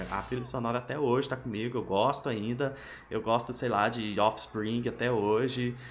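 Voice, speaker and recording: Flat, monotone intonation marks this man's speech. His pitch is medium and his pace moderate. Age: 30s. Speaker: podcast host. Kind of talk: casual chat.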